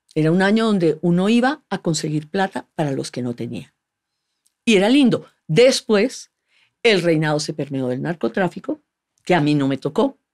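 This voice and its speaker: A woman with a Colombian accent, fairly low in pitch, with very wide pitch swings at a moderate pace against a quiet background. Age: 50s. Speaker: actress and former beauty queen; actress. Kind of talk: casual interview conversation. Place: studio. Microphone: studio mic.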